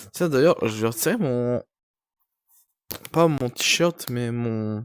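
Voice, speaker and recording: A man speaks very slowly in a medium-pitched voice. His pitch varies in an ordinary way. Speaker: streamer. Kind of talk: casual live stream chat. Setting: night live stream.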